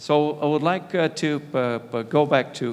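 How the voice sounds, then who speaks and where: A fairly high-pitched man's voice in a Brazilian accent, with ordinary pitch variation. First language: Portuguese. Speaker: panel moderator, innovation manager. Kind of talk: moderating a conference panel. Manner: halting, many fillers.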